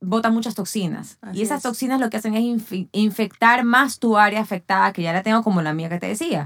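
Very fast, with hardly any pauses, a woman talks in a fairly high pitch with ordinary pitch variation. The recording is very clean, with a silent background. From Ecuador. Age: 40s. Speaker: athlete and fitness trainer. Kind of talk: casual chat.

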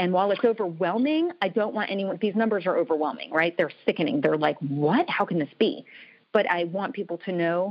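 A woman at medium pitch speaks fairly quickly in an unremarkable speaking voice. Her intonation is lively. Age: 40s. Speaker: TV producer and author. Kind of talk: casual interview chat.

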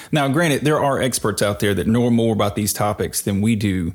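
Speaking at a moderate pace, a man with a Mississippi accent has a fairly low pitch. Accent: Southern US (Mississippi). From rural Mississippi, US South. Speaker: podcast co-host, data advocate. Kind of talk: casual chat.

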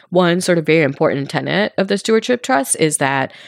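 A woman talks at a fairly quick pace with lively intonation and vocal fry. The recording is very clean, with a silent background and a dry, close sound with no echo. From India, Mumbai. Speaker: cooperative real estate founder. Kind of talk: interview.

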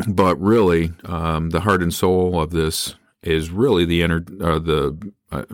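Someone with an American accent speaks with fairly even intonation on a very clean recording with a silent background. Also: man. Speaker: podcast host, retired school administrator. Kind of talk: solo monologue. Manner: halting, many fillers.

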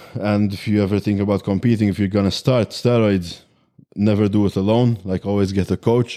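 With a Maltese accent, a man speaks at a moderate pace in a dark, mellow tone, his fairly low pitch held in a monotone, flat intonation. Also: very clean recording, silent background. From Malta. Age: 20s. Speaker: bodybuilder. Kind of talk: casual interview.

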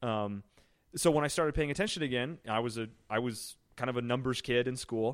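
This man has an unremarkable speaking voice, medium in pitch with ordinary variation, talking at a fairly quick pace with an American accent on a very clean recording with a silent background. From Illinois, US Midwest. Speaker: sports blogger. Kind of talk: casual chat.

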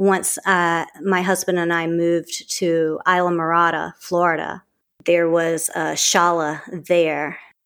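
A woman talks very slowly on a very clean recording against a silent background. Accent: Southern US. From US South, southern Mississippi. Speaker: acupuncturist and yoga teacher. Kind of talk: interview.

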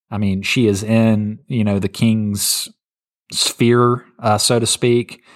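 Very slow, monotone, flat speech from a man with an American accent and a fairly low pitch, on a very clean recording with a silent background. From North Carolina. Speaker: pastor. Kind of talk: bible teaching; casual chat.

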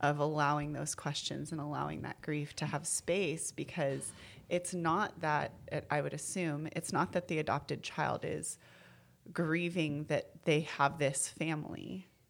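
In a very clean recording with a silent background, a woman speaks at a fairly slow pace with a very deep, low pitch and vocal fry. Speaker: birth mother. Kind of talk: casual chat.

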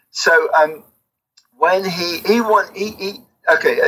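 A man speaks in a southern English accent. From England, near London (Watford). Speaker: album cover artist. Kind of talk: interview. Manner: halting.

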